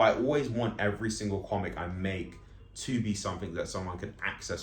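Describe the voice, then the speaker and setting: A man with a London accent talks at a very fast pace in a somewhat breathy voice. His pitch varies in an ordinary way, and audible room echo surrounds him. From London, England. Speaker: comic artist and vlogger. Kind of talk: casual monologue vlog. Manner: slightly slurred.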